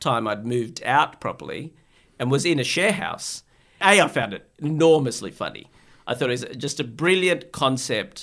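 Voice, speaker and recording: With lively intonation, a man speaks in an Australian accent. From Australia (Sydney), born in Bangladesh. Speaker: psychiatrist. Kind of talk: casual interview.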